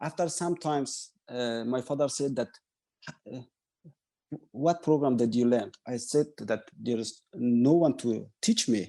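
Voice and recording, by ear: A man with a dark, mellow tone speaks at a fairly slow pace, his medium pitch moving with ordinary variation.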